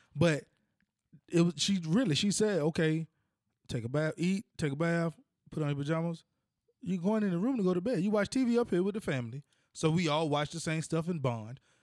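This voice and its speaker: Talking at a fairly quick pace yet with long, frequent pauses, a man uses a high pitch and lively intonation. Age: 30s. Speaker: podcast co-host. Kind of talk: casual chat.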